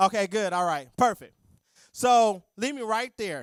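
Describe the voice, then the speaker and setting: Loud and animated, a man speaks at a moderate pace with ordinary pitch variation, on a very clean recording with a silent background and a dry, close sound with no echo. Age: 40s. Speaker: accountant and guest speaker. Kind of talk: church talk on finances.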